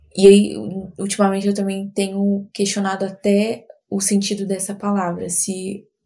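Somewhat breathy and dark, mellow in tone, a woman speaks at a medium pitch in a monotone, flat intonation. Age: 20s. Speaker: marketing professional, host's sister. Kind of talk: casual interview.

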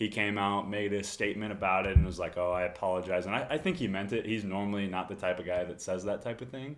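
With an American accent and a plain, everyday voice, a man talks at a fairly quick pace, his pitch fairly low and his intonation fairly even. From Texas (Corpus Christi). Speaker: college tennis and pickleball player. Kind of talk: casual chat.

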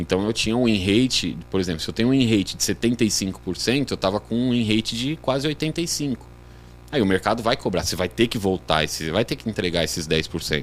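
An unremarkable speaking voice at a moderate pace, with lively intonation. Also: man, fairly low pitch for a man. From Brazil, Guarulhos (São Paulo). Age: 40s. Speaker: sports betting trader, former futsal player. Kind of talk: casual podcast interview.

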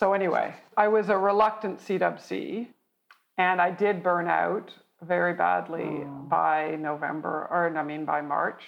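With an unremarkable speaking voice, a woman talks in a Canadian accent at a fairly low pitch. Her pace is fairly slow and her pitch varies in an ordinary way. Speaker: military college graduate, engineer. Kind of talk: interview.

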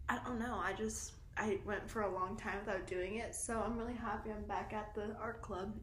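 Monotone, flat intonation marks a woman's fairly high voice, heard over noticeable background noise. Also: moderate pace. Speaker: podcast host. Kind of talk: casual chat. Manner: casual, giggly.

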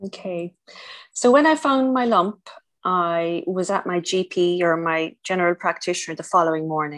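A woman with a strong Irish accent speaks at a fairly low pitch with ordinary pitch variation. The recording is very clean, with a silent background. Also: moderate pace. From Ireland. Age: 50s. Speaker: cancer survivor, former nurse. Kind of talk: interview testimony.

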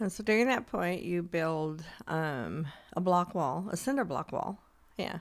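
A woman with a normal speaking voice, fairly low pitch and lively intonation at a fairly slow pace, on a very clean recording with a silent background. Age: 60s. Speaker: podcast co-host. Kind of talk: casual chat.

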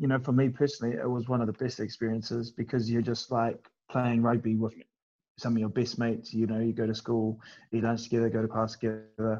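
A man with a New Zealand accent talks at a fairly quick pace and medium pitch, his dark, mellow tone carried on monotone, flat intonation. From New Zealand (Wellington). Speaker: professional rugby player. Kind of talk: casual chat.

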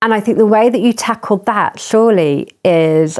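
A woman with a South London accent speaks with ordinary pitch variation in a very clean recording with a silent background. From southern England, Croydon. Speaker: charity chief executive. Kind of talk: interview conversation. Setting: at home.

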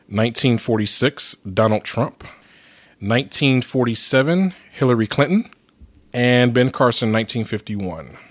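In a very clean recording, a man speaks at a very slow pace. His pitch variation is ordinary, and the background is silent. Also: medium pitch for a man. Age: 30s. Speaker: returning guest host. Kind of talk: casual chat.

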